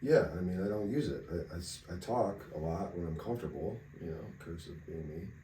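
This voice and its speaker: A man with a very deep, low voice speaks at a fairly quick pace with hardly any pauses, ordinary pitch variation and big swings in loudness. Noticeable background noise and audible room echo fill the recording. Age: 30s. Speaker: podcast co-host. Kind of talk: casual chat. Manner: quiet.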